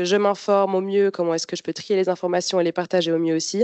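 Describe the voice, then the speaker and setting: A woman speaks at a medium pitch. Her intonation is flat and monotone. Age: 20s. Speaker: university student. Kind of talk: informational presentation. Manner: hesitant, many fillers.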